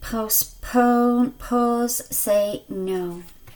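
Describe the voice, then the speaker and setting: A woman speaks at a very slow pace. Her pitch is high, with ordinary variation. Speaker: spiritual card reader. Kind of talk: card reading. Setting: video on own channel. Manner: mumbling at times.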